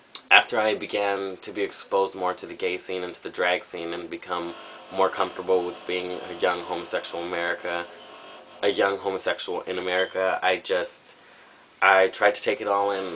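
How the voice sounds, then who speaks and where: Over noticeable background noise, a man with a very deep, low pitch speaks at a moderate pace. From Southern California. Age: 20s. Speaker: drag performer auditioning. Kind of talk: audition video monologue. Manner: casual, with fillers.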